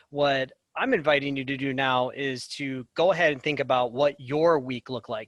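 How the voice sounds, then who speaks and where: This man's medium-pitched voice moves at a moderate pace with fairly even intonation, the sound dry and close with no echo. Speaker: school activities director. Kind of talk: webinar presentation.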